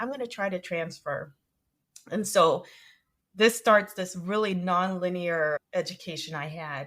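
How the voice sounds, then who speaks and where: In a very clean recording with a silent background, a woman with a Spanish accent talks at a moderate pace with ordinary pitch variation. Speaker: music educator and entrepreneur. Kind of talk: interview.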